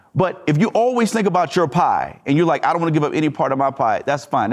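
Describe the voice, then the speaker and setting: Very fast and high-pitched, a man with an American accent speaks with very wide pitch swings on a very clean recording with a silent background. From US South. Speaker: attorney and bank investor. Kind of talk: interview conversation. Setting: live event venue.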